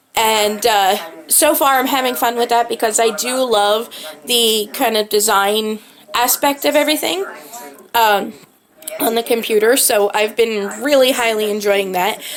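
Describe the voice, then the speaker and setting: Noticeable background noise sits behind a woman whose fairly high voice, with ordinary pitch variation, moves at a fairly slow pace. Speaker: lifestyle vlogger. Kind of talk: casual vlog talk. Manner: filler-heavy, hesitant.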